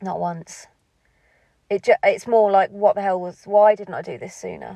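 A woman's monotone, flat delivery in a dry, close sound with no echo. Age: 40s. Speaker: home-educating parent, podcast host. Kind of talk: casual monologue. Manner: rambling, hesitant.

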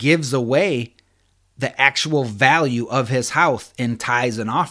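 This is a man with an ordinary speaking voice at a medium pitch and ordinary pitch variation. The recording is very clean with a silent background. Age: 30s. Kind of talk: devotional teaching.

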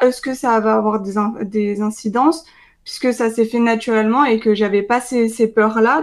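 Delivered at a moderate pace, this is a plain, everyday voice with fairly even intonation. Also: woman. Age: 20s. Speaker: nutrition coach and dietetics student. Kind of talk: casual interview chat.

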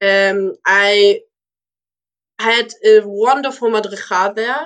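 Her pitch medium, a woman speaks very slowly with fairly even intonation. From Germany, Lübeck (born in Moscow, Russia). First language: Russian or German. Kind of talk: interview. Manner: halting, many fillers. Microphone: poor sound quality.

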